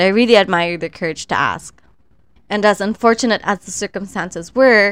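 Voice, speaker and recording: On a very clean recording with a silent background, a woman with an ordinary speaking voice and medium pitch talks at a moderate pace with lively intonation. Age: 30s. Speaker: podcast host. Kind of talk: solo commentary podcast.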